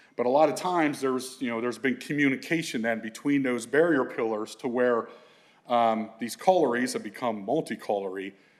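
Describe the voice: A man speaks at a moderate pace with a medium pitch and ordinary pitch variation.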